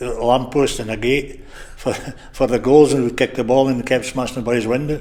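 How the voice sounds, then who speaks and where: A man speaks with a Scottish Borders accent at a medium pitch. His intonation is monotone and flat, with noticeable background noise. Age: 70s. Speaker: retired rugby player. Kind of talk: interview. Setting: bar.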